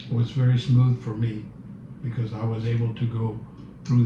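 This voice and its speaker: The man's voice sits at a medium pitch and moves at a fairly slow pace. Noticeable background noise and audible room echo surround it. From Cuba, Havana. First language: Spanish. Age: 70s. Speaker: Cuban exile interviewee. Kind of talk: interview, personal recollection. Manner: hesitant, many fillers and repeats.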